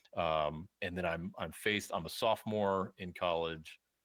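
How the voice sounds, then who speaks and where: A man with an American accent speaks at a fairly slow pace. His pitch is very deep and low, with ordinary variation. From US South. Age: 40s. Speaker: podcast guest. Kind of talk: casual interview. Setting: video call. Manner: halting.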